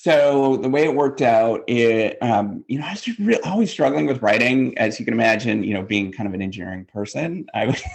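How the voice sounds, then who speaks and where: Music plays in the background as a man with medium pitch and lively intonation talks at a fairly quick pace with hardly any pauses. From Canada, northwestern Ontario. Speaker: business professor. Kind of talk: interview. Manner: halting, many fillers.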